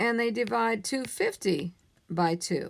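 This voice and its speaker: Her intonation lively, a woman speaks. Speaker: math teacher. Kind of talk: tutorial. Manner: casual, conversational.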